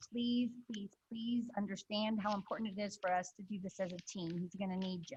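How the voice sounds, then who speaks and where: Speaking at a fairly quick pace, a woman with a medium pitch and a somewhat breathy voice keeps her intonation fairly even. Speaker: club president. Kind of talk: club meeting announcements. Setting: video call.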